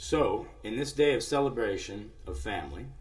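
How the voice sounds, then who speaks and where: A man speaks with an American accent at a moderate pace. Room echo can be heard. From US Midwest. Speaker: musician and live show host. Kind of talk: live stream monologue. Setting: live internet stream.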